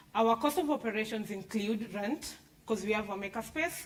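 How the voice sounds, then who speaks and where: Against noticeable background noise, a woman speaks at a moderate pace with a fairly high pitch. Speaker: startup founder pitching. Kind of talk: business pitch and Q&A.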